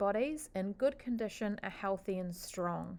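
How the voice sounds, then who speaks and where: With a New Zealand accent, a woman speaks at a moderate pace in a fairly high pitch with ordinary pitch variation. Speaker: teacher. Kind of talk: lecture. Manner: hesitant, frequent fillers.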